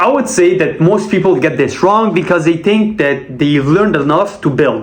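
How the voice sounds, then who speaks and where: A man with a Quebec accent speaks at a high pitch and moderate pace, lively in intonation yet very even in loudness, with audible room echo and noticeable background noise. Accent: Québécois French accent in English. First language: French. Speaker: sales rep and vlogger. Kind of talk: casual monologue vlog.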